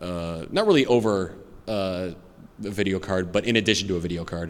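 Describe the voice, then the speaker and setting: A man with a very deep, low pitch, fairly even intonation and a fairly quick pace, in audible room echo. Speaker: YouTube gamer and streamer. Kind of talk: convention Q&A panel. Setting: stage with audience. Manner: halting, stutters with many fillers.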